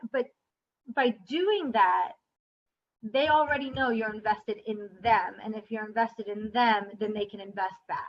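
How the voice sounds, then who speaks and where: Fairly slow speech with big swings in loudness and ordinary pitch variation. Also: woman, fairly high pitch for a woman. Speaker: teacher. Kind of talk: casual chat.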